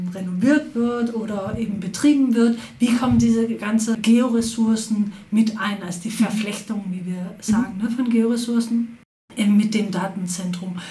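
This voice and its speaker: A woman speaks with a fairly high pitch and fairly even intonation. Noticeable background noise and audible room echo surround her voice. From Denmark, Copenhagen. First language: Danish (speaking German). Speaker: professor. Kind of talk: interview.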